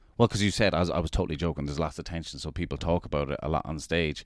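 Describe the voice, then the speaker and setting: A man talks at a very fast pace. He speaks with an Irish accent. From Ireland. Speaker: comedian. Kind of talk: casual chat. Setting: New York City. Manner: animated.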